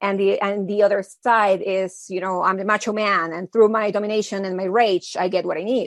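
A woman speaks at a fairly quick pace with a medium pitch and a monotone, flat intonation. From Mexico. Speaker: mentor and author. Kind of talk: podcast interview.

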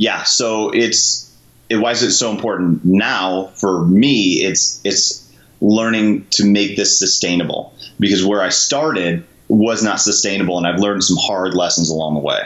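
A man with a normal speaking voice talks at a moderate pace and fairly low pitch, with ordinary pitch variation and very even loudness. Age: 30s. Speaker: SWAT police officer and CrossFit coach. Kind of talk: casual interview chat.

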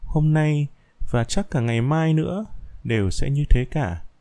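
Very slowly, a man with a dark, mellow tone and medium pitch speaks with very wide pitch swings. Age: 20s. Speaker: podcaster. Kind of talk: reading aloud.

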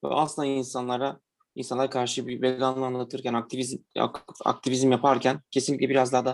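A man speaking at a fairly quick pace with monotone, flat intonation. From Diyarbakır, Turkey (Kurdish). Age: 20s. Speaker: accountant, vegan platform co-founder. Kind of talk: casual interview.

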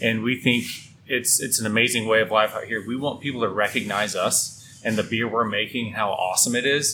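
A man with a plain, everyday voice talks in an American accent at a medium pitch, fairly quick pace, and fairly even intonation. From Midland, West Texas. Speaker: brewery co-owner. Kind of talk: casual interview. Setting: in a brewery.

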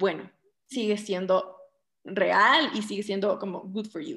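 A woman with a Quito Ecuadorian accent sounds somewhat breathy in a very clean recording with a silent background. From Ecuador, Quito. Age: 30s. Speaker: interior designer and home cook. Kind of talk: casual chat.

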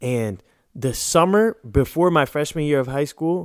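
Recorded very cleanly against a silent background, a man with a plain, everyday voice and a fairly high pitch speaks with lively intonation. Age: 30s. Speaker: podcast co-host. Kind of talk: casual chat.

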